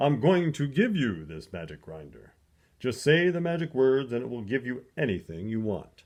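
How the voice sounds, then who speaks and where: A man uses a put-on character voice at medium pitch with very wide pitch swings. The background is quiet. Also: moderate pace. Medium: read story.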